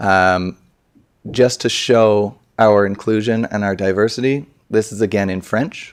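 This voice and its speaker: A man with a normal speaking voice, fairly low in pitch, at a fairly slow pace with fairly even intonation. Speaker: city staff presenter. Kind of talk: presentation to council.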